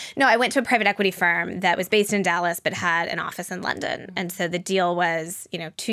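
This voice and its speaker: A woman speaks at a fairly quick pace in a plain, everyday voice, with an American accent and fairly low pitch. The recording is very clean, with a silent background. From Denver, Colorado, US. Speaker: startup founder and CEO. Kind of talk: interview.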